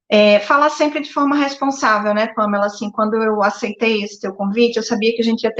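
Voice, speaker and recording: A woman with a northeastern Brazilian accent, fairly high pitch, and moderate pace. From Brazil, Northeast. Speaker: psychologist. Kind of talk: live-stream interview. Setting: live stream. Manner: hesitant, many filler words.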